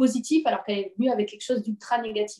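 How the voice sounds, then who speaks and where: Her voice is fairly high-pitched with a dark, mellow tone, and it belongs to a woman. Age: 20s. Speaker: parenting coach. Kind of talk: interview conversation.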